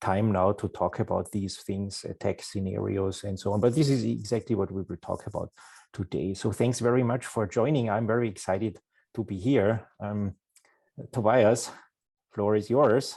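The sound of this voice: At a moderate pace, a man speaks with fairly even intonation at a fairly low pitch, his tone dark and mellow. Vocal fry and a slightly husky edge run through his voice.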